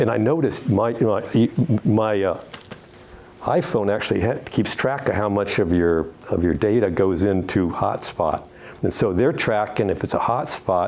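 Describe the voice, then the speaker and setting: A fairly low-pitched man with ordinary pitch variation and very even loudness, over noticeable background noise. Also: moderate pace. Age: 70s. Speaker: retired judge giving a travel talk. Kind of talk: Q&A after a club presentation. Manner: halting, many false starts and repetitions.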